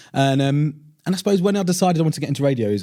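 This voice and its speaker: In a southern English accent, a man talks with lively intonation and a dark, mellow tone. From southern England, Portsmouth. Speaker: radio presenter. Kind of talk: casual interview chat. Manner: loud.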